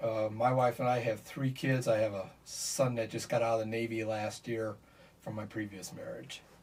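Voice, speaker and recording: A man's medium-pitched voice with an American accent, monotone and flat, over noticeable background noise. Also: moderate pace. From US Midwest, Michigan City, Indiana. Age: 70s. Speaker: bereaved father. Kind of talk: interview. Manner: halting.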